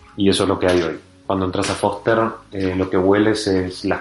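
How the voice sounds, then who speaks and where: Over noticeable background noise, a man with a Rioplatense accent speaks at a fairly quick pace in a very deep, low pitch and monotone, flat intonation. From Argentina. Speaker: startup founder. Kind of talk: interview.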